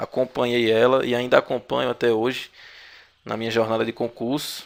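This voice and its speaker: The man holds a medium pitch and a moderate speed, his intonation monotone and flat. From Brazil, Paraíba (Northeast). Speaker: exam-prep instructor. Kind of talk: online video lecture. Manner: filler-heavy, hesitant.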